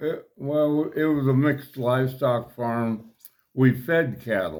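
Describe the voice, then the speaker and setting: A man's very slow, medium-pitched speech with ordinary pitch variation, in an American accent. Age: 80s+. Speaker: rancher. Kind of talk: interview answer.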